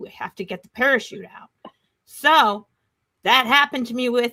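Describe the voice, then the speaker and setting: A woman with a fairly high pitch speaks in a bright, sharp, animated tone with ordinary pitch variation, in a dry, close sound with no echo. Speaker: wrestling podcast co-host. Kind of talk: casual chat.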